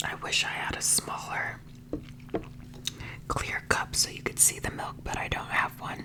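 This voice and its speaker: A whispering voice moves at a fairly slow pace with long, frequent pauses as noticeable background noise continues. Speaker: ASMR mukbang creator. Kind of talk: ASMR food review talk to camera. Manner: whispered, soft-spoken.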